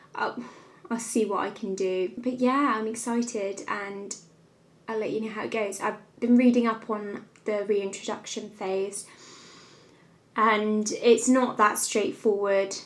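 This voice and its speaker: Speaking with a southern English accent, the voice stays monotone and flat, with long, frequent pauses. Room echo is audible. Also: woman, fairly high pitch for a woman. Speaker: lifestyle vlogger. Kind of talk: vlog to camera.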